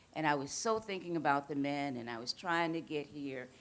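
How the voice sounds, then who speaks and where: A woman with an American accent talks in a very deep, low voice with ordinary pitch variation. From US South, Mississippi. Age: 60s. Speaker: restorative justice worker, panelist. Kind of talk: panel talk to audience.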